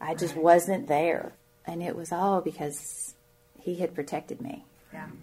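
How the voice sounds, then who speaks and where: A woman's fairly low voice in an American accent at a fairly slow pace, with noticeable background noise. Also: ordinary pitch variation, big swings in loudness. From Shenandoah Valley, Virginia, US. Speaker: churchgoer sharing her faith story. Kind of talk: testimony.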